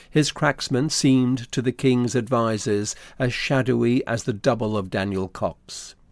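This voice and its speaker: A man's plain, everyday voice at medium pitch, with ordinary pitch variation, a fairly slow pace and hardly any pauses, on a very clean recording with a silent background. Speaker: narrator. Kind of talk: literary audiobook narration. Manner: measured, formal, steady storytelling pace.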